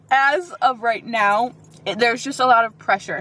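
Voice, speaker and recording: This woman's voice is high in pitch. Her intonation is lively. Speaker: beauty vlogger. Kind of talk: casual vlog. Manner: fast, lisps when fast.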